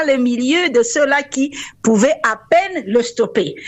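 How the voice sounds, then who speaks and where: A woman speaks with an English accent and lively intonation. Her pitch is high. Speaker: university rector. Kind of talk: radio interview. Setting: phone call.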